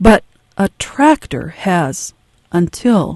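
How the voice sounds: A soft-spoken woman talks with lively intonation and a slightly mellow tone. The sound is dry and close, with no echo.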